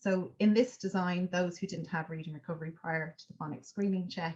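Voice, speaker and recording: In an Irish accent, a woman speaks at a fairly quick pace and a fairly low pitch. Her voice is somewhat breathy, with fairly even intonation. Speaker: education researcher. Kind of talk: academic seminar talk. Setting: seminar. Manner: hesitant, many fillers.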